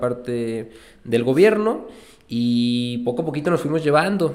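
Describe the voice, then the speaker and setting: Heard with audible room echo, a man at medium pitch speaks with lively intonation. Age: 30s. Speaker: entrepreneur. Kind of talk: casual interview chat. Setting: studio.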